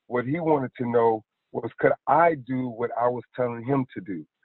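Male speaker, medium pitch, a plain, everyday voice, ordinary pitch variation. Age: 50s. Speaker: fitness trainer. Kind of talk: interview.

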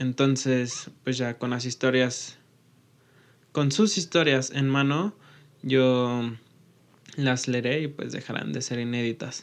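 A man at a medium pitch with ordinary pitch variation, speaking very slowly with long, frequent pauses against a quiet background. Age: 20s. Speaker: podcast host and engineering student. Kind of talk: channel introduction monologue.

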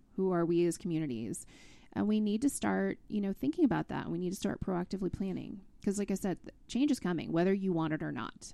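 A woman's medium-pitched, dark and mellow voice at a very fast pace, with lively intonation, on a very clean recording with a silent background. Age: 40s. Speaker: state outdoor recreation director. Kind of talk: interview conversation.

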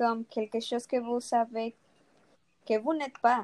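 Dry and close, with no echo, a dark and mellow tone. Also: woman. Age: 60s. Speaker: retired nurse. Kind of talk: panel debate.

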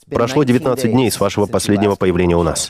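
Amid noticeable background noise, a man with a fairly low pitch talks at a very fast pace with ordinary pitch variation. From US. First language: English (speaking Russian). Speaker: podcast host. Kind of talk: interview.

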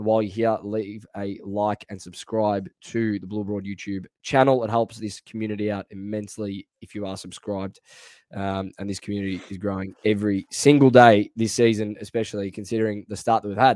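A man with an Australian accent and a fairly low pitch speaks with hardly any pauses, monotone, flat intonation and big swings in loudness, in a dry, close sound with no echo. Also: fairly quick pace. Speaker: AFL fan podcast host. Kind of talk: casual sports chat. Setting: video call over VPN connection.

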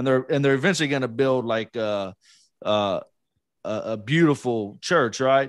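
An ordinary speaking voice with an American accent moves at a moderate pace with ordinary pitch variation over a quiet background. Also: man, medium pitch for a man. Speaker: podcast co-host, guest. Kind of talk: casual interview chat.

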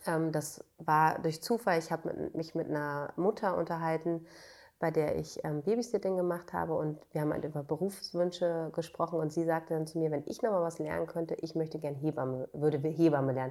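At a fairly quick pace, a woman speaks with a fairly low pitch and a dark, mellow tone in a very clean recording with a silent background. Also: fairly even intonation. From northern Germany, Schleswig-Holstein (Bad Segeberg). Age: 30s. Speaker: midwife. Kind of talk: interview conversation.

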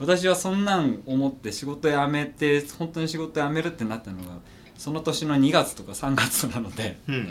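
Lively intonation from a male speaker, noticeable background noise behind him. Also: fairly high pitch for a man, moderate pace. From Gunma, Japan. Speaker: backpack maker. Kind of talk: casual chat.

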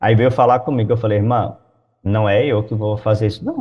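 A man speaks at a medium pitch and a moderate pace. His voice is somewhat breathy. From Brazil, Goiás. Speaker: missionary pastor. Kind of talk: interview.

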